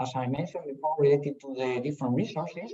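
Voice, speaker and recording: His pitch moves in an ordinary way. The man's tone is dark and mellow. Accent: Spanish. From Spain. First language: Spanish. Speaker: professor. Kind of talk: lecture. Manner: halting.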